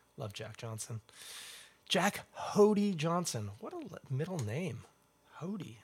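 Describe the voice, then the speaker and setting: A man's fairly high, somewhat breathy voice at a moderate pace, with very wide pitch swings. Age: 30s. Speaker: podcast host. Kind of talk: casual chat. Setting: livestream.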